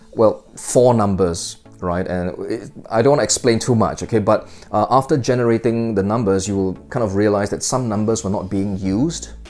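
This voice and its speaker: Music plays in the background as a man talks at a moderate pace. His pitch is fairly low, with ordinary variation. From Singapore. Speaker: magic product reviewer. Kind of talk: casual review chat to camera. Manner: hesitant, many fillers.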